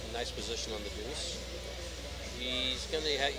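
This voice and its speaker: Clear music fills the background. Over it, a man talks. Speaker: pool match commentator. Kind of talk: commentary. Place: hall.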